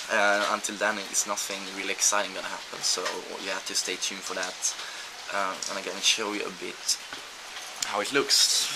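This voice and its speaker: Over noticeable background noise and audible room echo, a man with a fairly low pitch talks at a moderate pace. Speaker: professional gamer vlogger. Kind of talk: video blog. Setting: outdoors. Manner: halting.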